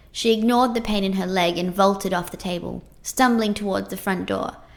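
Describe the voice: This plain reading aloud has ordinary pitch variation.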